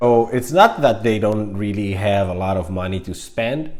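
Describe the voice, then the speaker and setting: With a Greek accent, a man speaks at a fairly low pitch. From Greece (Crete). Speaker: vlogger. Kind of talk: casual vlog monologue. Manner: animated, many fillers.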